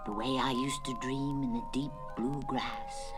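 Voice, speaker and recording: Over loud music in the background, a put-on character voice speaks at a moderate pace with a low-to-middle pitch. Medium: read story. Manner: slow, sleepy.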